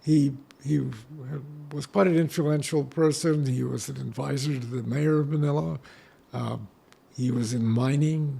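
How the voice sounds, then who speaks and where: Somewhat breathy man's voice with an American accent, fairly high in pitch, with ordinary pitch variation, a moderate pace and long, frequent pauses. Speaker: war camp survivor, retired lawyer. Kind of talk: interview. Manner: halting.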